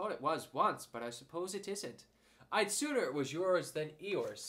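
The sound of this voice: The voice is an unforced reading voice. It reads the text aloud.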